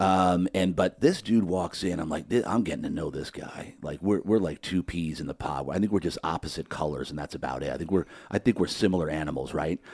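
Very deep, low male speech with vocal fry, at a fairly quick pace, with ordinary pitch variation and a dry, close sound free of echo. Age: 50s. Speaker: podcast host. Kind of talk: casual interview. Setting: studio. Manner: animated.

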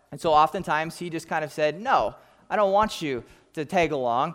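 A speaker with an American accent talks at a moderate pace on a very clean recording with a silent background. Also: man. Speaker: pastor. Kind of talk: sermon.

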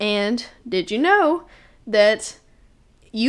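A woman's pitch swings very widely on a very clean recording with a silent background. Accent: Southern US. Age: young. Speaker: podcast host. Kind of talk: casual monologue.

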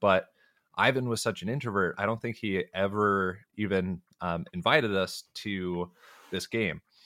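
A man with a fairly low pitch speaks in a confident, bright, sharp tone. The pace is moderate, and the sound is dry and close with no echo. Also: ordinary pitch variation, very clean recording, silent background. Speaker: tabletop role-playing podcaster. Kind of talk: casual interview chat. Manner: halting, many ums and repetitions; sounds confident.

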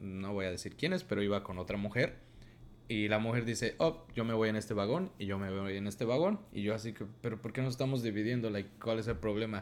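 Here is a man with an ordinary speaking voice. He talks at a fairly quick pace, fairly low in pitch, with ordinary pitch variation. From Mexico. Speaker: podcast co-host. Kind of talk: casual chat.

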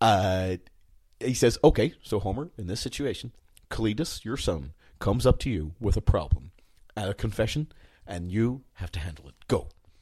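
In a very clean recording with a silent background, a man with a fairly low pitch and a somewhat breathy voice speaks at a moderate pace, taking long, frequent pauses, his loudness swinging widely. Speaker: podcast co-host. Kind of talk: casual chat. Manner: animated.

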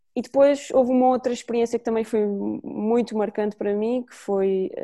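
In a quiet background, a woman with a dark, mellow tone speaks at a fairly quick pace with ordinary pitch variation. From Azores, Portugal (São Miguel). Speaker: women's football coach. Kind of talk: podcast interview. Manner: hesitant, frequent repetitions.

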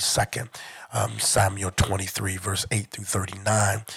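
A somewhat breathy man with an American accent, fairly low in pitch, monotone and flat, at a fairly slow pace. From Detroit, Michigan. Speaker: church overseer. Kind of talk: religious talk. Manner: halting.

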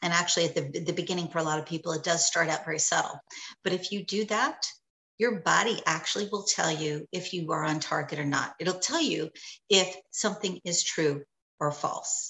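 A woman with an American accent, a normal speaking voice, fairly low pitch, ordinary pitch variation and a fairly quick pace. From New York. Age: 50s. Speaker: psychic and meditation teacher. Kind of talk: casual interview.

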